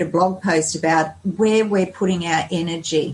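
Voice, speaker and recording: A somewhat breathy woman with an Australian accent, medium in pitch, with ordinary pitch variation at a moderate pace. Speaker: lifestyle blogger and health coach. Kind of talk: podcast interview.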